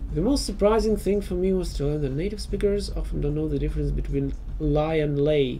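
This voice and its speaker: Fairly quick speech with a Russian accent amid noticeable background noise. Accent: Russian accent, self-described as horrible. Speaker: video game streamer. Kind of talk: casual chat. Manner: halting, many pauses and fillers.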